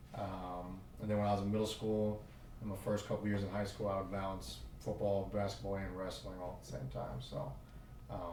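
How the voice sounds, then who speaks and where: Somewhat breathy and dark, mellow in tone, a man with an American accent talks fairly quickly at a fairly low pitch with ordinary pitch variation, with audible room echo. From Oklahoma. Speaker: football coach. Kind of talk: podcast interview. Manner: hesitant, many fillers.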